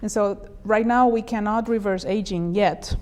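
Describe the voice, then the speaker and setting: A woman's voice with a dark, mellow tone keeps a fairly even intonation. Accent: Spanish. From Spain. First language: Spanish. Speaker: neurologist. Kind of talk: interview.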